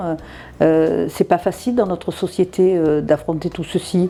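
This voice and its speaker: Her tone is dark and mellow. This woman speaks at a fairly low pitch with fairly even intonation. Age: 60s. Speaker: interviewee sharing her love story. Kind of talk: interview conversation. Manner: halting, many repetitions and hesitations.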